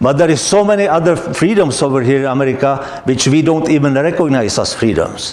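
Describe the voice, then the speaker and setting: A man with a non-native accent talks at a fairly quick pace with lively intonation, amid noticeable background noise and audible room echo. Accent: foreign accent, noticeable. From Czechoslovakia. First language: Czech or Slovak. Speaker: guest speaker, immigrant. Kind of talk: talk to an audience.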